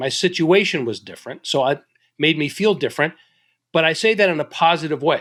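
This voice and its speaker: Pitch varies in an ordinary way as the words come fairly quickly. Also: man, fairly high pitch for a man. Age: 60s. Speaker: business author and leadership consultant. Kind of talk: podcast interview. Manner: halting, with frequent repetitions.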